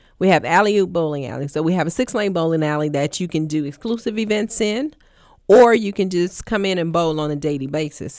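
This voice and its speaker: Fairly low in pitch, this woman has a normal speaking voice with ordinary pitch variation. The recording is very clean and the background silent. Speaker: sales and marketing manager. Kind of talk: radio interview.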